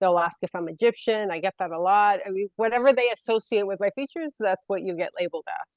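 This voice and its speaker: Talking at a very fast pace with hardly any pauses, a woman with a Puerto Rican accent uses a medium pitch and ordinary pitch variation, her loudness swinging widely in a dry, close sound with no echo. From Puerto Rico. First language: Spanish. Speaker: panelist. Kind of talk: panel discussion.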